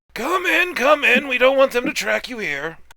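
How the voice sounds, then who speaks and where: A man in a raspy, put-on character voice at an extremely high pitch and a moderate pace. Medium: actual play. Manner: slow, hospitable.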